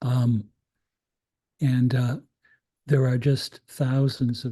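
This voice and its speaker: A man's somewhat breathy voice with a dark, mellow tone. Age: 70s. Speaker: critical pedagogy scholar. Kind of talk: invited talk. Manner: halting, many fillers and repetitions.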